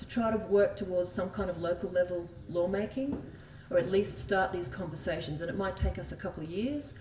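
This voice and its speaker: Over noticeable background noise and audible room echo, a woman speaks with an Australian accent. Her pitch varies an ordinary amount. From Australia (desert, outback). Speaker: environmental law advocate. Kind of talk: conference talk. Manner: casual, chatty.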